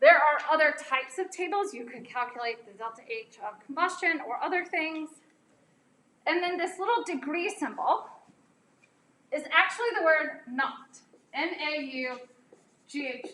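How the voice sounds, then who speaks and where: A woman with an American accent uses a raised, projected voice that is high and bright, with a sharp tone. Her intonation is lively, with big swings in loudness and long, frequent pauses. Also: moderate pace. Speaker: chemistry professor. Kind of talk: lecture. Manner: casual, conversational.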